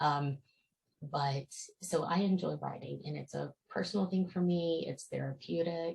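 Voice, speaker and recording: A woman speaks softly. Her pace is fairly slow. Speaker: author. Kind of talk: casual talk to camera. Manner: quiet, soft-spoken.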